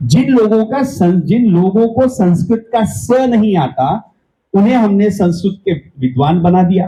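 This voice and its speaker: A man speaks with a high pitch, lively intonation and a dark, mellow tone. His loudness stays very even, and he leaves hardly any pauses. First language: Marathi (speaking Hindi). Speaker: event organizer giving welcome address. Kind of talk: welcome speech.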